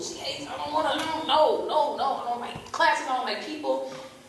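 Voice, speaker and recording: A woman's high-pitched, animated voice, with noticeable background noise and audible room echo. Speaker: church speaker. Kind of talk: sermon. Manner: loud.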